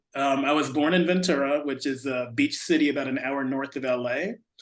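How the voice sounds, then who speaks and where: With an American accent and a normal speaking voice, a man talks at a fairly high pitch. His pace is moderate, with ordinary pitch variation. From California and Texas. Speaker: artist. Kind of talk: interview.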